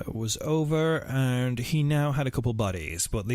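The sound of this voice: Unforced reading comes through, the pitch shifting in a normal way.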